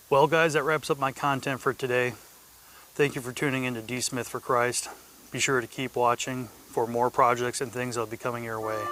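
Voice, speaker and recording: Noticeable background noise accompanies a man speaking at medium pitch, monotone with flat intonation. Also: fairly quick pace. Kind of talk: casual vlog talk. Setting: outdoors on a riding lawnmower.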